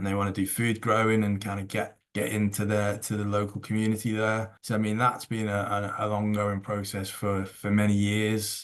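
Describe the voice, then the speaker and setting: A man with a northern English accent speaks at a moderate pace in a fairly low pitch, his intonation flat and monotone, with hardly any pauses. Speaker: cohousing organisation co-founder. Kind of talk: podcast interview. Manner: casual, with fillers and repetitions.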